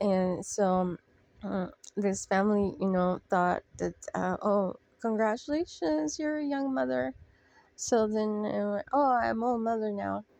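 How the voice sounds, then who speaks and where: Speaking very slowly, a woman uses lively intonation. Her pitch is medium. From Mexico. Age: 40s. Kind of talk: personal recovery-sharing monologue to camera. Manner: hesitant, halting.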